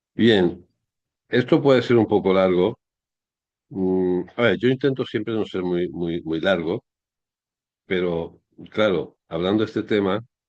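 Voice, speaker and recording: The speaker goes at a fairly slow pace with ordinary pitch variation and long, frequent pauses. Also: man, very deep, low pitch for a man. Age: 60s. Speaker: history commentator. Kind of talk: monologue commentary. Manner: halting.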